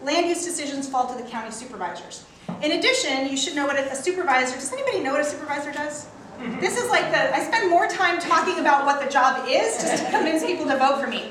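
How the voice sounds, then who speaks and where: A woman talks at a very fast pace in a high voice with lively intonation. There is noticeable background noise and audible room echo. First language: not English. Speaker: local politician and candidate for county office. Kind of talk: campaign speech at a community meeting. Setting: town council meeting with audience.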